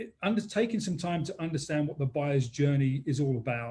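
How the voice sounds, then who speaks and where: Talking at a very fast pace, a man uses a fairly high pitch with ordinary variation, a somewhat breathy quality and a dark, mellow tone. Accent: American. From England, London. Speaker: business consultant. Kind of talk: webinar interview.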